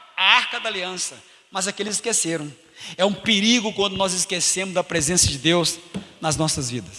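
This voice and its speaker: A man talks at a moderate pace in a high, raised and projected voice with an animated tone. Noticeable background noise sits behind him. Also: ordinary pitch variation. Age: 50s. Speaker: pastor. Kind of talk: sermon. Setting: church.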